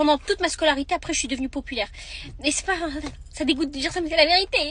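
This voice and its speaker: A woman's extremely high-pitched voice with lively intonation at a very fast pace. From France, partly raised in Marrakech. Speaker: vlogger. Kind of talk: storytelling. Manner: casual, halting.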